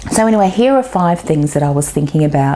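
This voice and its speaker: With an Australian accent, a woman speaks with very wide pitch swings against noticeable background noise. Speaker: business marketing coach. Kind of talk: video tip talk to camera.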